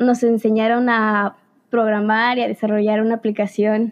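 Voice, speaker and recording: Pitched fairly high, a woman talks with monotone, flat intonation. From Veracruz, Mexico. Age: young. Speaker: engineering student. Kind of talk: podcast interview.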